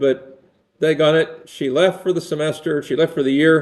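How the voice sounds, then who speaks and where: This man has a fairly high pitch. He speaks at a fairly quick pace. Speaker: university lecturer. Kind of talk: lecture. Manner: sarcastic.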